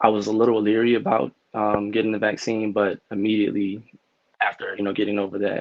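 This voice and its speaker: A man rushes along at a very fast pace, fairly low in pitch and monotone, flat in intonation. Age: 30s. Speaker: healthcare worker. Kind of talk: testimony.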